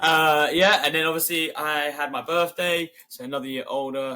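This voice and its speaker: In a London accent, a man talks with a bright, sharp tone. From London, England. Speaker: podcast co-host. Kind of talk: casual chat.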